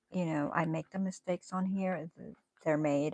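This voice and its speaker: Music plays in the background as a woman with a very deep, low voice speaks in a dry, close sound with no echo. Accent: American. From northern US. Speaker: crochet and knitting livestreamer. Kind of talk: casual livestream chat while crafting. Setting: livestream. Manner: slow.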